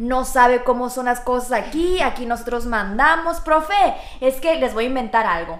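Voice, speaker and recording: A woman's high-pitched, lively voice at a moderate pace, with audible room echo. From Mexico, Sonora (Hermosillo). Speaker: teacher. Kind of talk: testimony.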